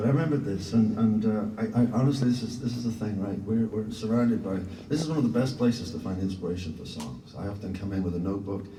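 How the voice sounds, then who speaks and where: Through noticeable background noise and audible room echo, a man with a fairly low pitch rushes along very fast with hardly any pauses and ordinary pitch variation. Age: 60s. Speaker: singer-songwriter. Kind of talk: interview talk, storytelling. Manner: halting.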